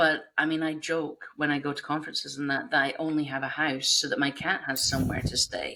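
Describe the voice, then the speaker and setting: A woman with a Scottish accent speaks at a moderate pace. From northeast Scotland. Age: 40s. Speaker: game industry professional. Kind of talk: casual chat.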